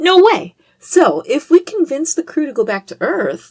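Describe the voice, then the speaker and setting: In a put-on character voice, a woman squeaks at an extremely high pitch and moderate pace, with big swings in loudness and a dry, close sound with no echo. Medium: audio drama. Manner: snappy, sarcastic.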